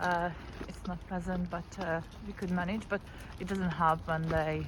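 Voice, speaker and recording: A woman's voice at a fairly slow pace, with audible room echo. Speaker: vlogger, parent. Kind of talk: walking vlog. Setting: outdoors, walking on street. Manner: halting, many fillers.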